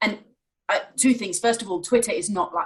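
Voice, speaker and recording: A woman's somewhat breathy, fairly high-pitched voice at a fairly quick pace. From rural Wales. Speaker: think tank chief executive. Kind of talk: live online interview. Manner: halting.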